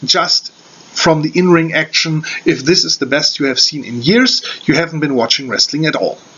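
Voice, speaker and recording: A man's fairly high voice with a German accent, ordinary pitch variation and noticeable background noise. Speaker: wrestling reviewer. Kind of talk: video review. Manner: halting, many fillers.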